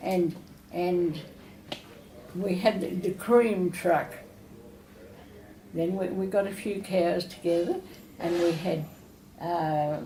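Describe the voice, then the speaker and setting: A woman with an Australian accent and a fairly low pitch speaks at a very slow pace with long, frequent pauses and fairly even intonation, over noticeable background noise. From Australia, New South Wales. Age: 80s+. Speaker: retirement village resident. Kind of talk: interview answer.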